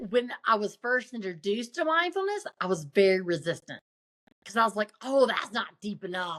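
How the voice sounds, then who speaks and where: In a Southern US accent, a woman speaks at a moderate pace with a fairly high pitch and very wide pitch swings. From US South. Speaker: motivational speaker and coach. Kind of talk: interview conversation.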